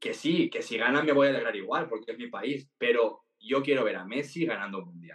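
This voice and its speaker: A man talking at a very fast pace. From Valencia, Spain. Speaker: TikTok content creator. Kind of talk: interview.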